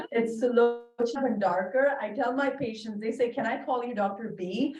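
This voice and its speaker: Over background music and audible room echo, a woman with an Indian accent talks at a high pitch and moderate pace, her intonation fairly even. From Bahrain, Indian family. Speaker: dermatologist. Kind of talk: lecture.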